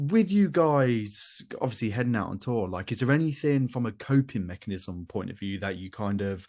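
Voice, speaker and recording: Over a quiet background, a man with a British accent talks at a moderate pace in a fairly low pitch with ordinary pitch variation. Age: 30s. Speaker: podcast host. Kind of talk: casual chat.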